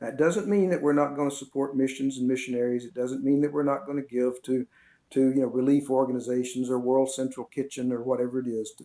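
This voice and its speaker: A man talks at a very fast pace in a medium pitch with fairly even intonation. His tone is dark and mellow. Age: 70s. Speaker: retired seminary professor. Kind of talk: interview. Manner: halting.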